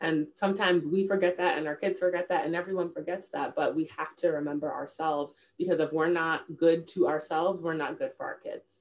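A woman's normal speaking voice, fairly low in pitch, at a fairly quick pace with hardly any pauses and fairly even intonation. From New York, the Bronx. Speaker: diversity professional and children's author. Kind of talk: interview.

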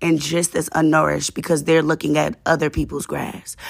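A woman speaks at a fairly low pitch with vocal fry. The recording is very clean, with a silent background. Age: 20s. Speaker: podcast host. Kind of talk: casual monologue. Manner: conversational, informal.

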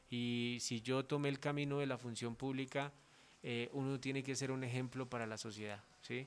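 Monotone, flat intonation from a man at medium pitch and a moderate pace. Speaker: politician. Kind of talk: interview.

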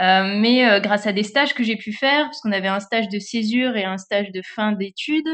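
Speech at a moderate pace in an ordinary speaking voice. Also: woman. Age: 30s. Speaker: social media manager and cycling influencer. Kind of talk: interview.

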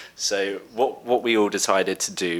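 A man speaks with a southern English accent. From Brighton, England. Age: 20s. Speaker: podcast host, expat. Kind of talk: casual chat. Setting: remote call.

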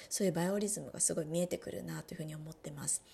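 Here a woman is talking. There is a somewhat breathy quality to her voice. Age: 30s. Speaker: podcast host, wellbeing coach. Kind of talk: solo podcast talk.

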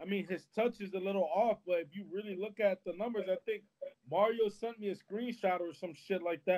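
A man talks at a moderate pace. His voice is high in pitch. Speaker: football podcast co-host. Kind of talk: casual chat. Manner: animated.

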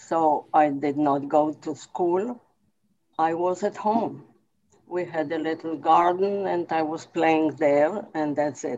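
At a very slow pace, a woman speaks with a very deep, low pitch. Her tone is dark and mellow, with ordinary pitch variation. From Poland. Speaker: Holocaust survivor. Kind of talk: testimony. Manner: halting.

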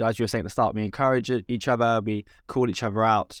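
This speaker has a British accent. The delivery comes at a very fast pace. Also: man, dry, close sound with no echo. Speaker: podcast host. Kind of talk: casual chat.

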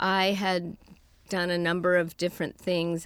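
On a very clean recording with a silent background, a woman with an American accent speaks at a moderate pace, fairly low in pitch, with fairly even intonation. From US West Coast, San Francisco. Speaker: advertising creative director, agency co-founder. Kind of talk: interview.

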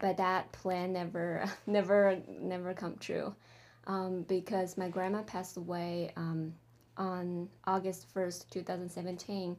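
Very slowly, a woman speaks at a medium pitch in a monotone, flat delivery. The recording is very clean, with a silent background. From China, Changsha, Hunan province. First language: Chinese (Mandarin). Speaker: MFA creative writing student. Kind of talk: interview. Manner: halting, many fillers.

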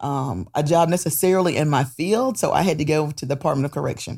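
With a North Carolina accent, a woman speaks at a moderate pace in a very deep, low pitch, captured on a very clean recording with a silent background. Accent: US South (North Carolina). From Goldsboro, North Carolina. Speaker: nonprofit agency executive. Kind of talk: interview. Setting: studio.

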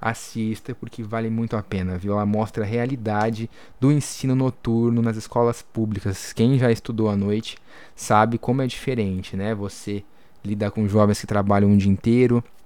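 His tone dark and mellow, a man speaks at a moderate pace and fairly low pitch in a flat monotone. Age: 20s. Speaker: podcast host, journalist. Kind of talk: casual informative podcast chat; news reading.

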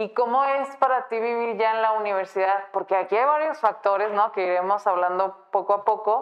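A woman with a plain, everyday voice and a fairly high pitch talks at a moderate pace with ordinary pitch variation and hardly any pauses. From Guadalajara, Mexico. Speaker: podcast host. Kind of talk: interview. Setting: studio.

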